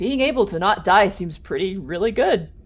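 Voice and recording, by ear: This is a put-on character voice that sounds female. It sits at a medium pitch. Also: moderate pace.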